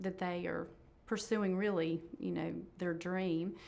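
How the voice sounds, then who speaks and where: A woman speaks in a North Carolina accent at a fairly slow pace. Her intonation is flat and monotone. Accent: Southern US (North Carolina). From Shelby, North Carolina. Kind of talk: oral history interview answer.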